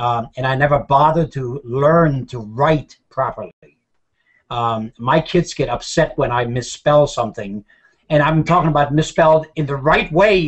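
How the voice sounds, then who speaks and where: A man with a fairly high, somewhat breathy voice talks at a moderate speed, his pitch varying in an ordinary way. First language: German. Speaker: show co-host, storyteller and war veteran. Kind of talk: casual chat. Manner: halting.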